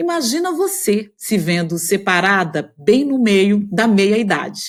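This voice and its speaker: Recorded very cleanly against a silent background, a woman speaks at a very slow pace with very wide pitch swings. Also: medium pitch for a woman. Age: 50s. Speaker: podcast host, journalist. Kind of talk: scripted podcast intro.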